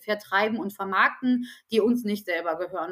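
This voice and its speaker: At a fairly quick pace, a woman talks in a fairly high pitch with ordinary pitch variation, an unremarkable speaking voice. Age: 30s. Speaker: HR team lead. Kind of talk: podcast interview. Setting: studio.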